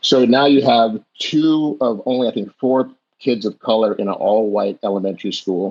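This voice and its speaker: An American-accented man at medium pitch uses an ordinary speaking voice with ordinary pitch variation. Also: moderate pace. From Jamaica, then Southern California. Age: 60s. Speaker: podcast guest, health coach. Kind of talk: personal life story in interview.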